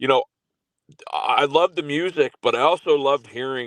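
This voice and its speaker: A man with a Canadian accent at a moderate pace, ordinary pitch variation, dry and close with no echo, in a very clean recording with a silent background. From Canada. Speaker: podcast host. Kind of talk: interview. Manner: halting, many fillers.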